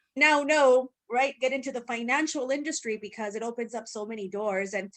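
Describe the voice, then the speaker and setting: A woman with a Spanish accent at a fairly quick pace, fairly high in pitch, with ordinary pitch variation. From Mexico. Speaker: podcast co-host. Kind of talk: podcast interview.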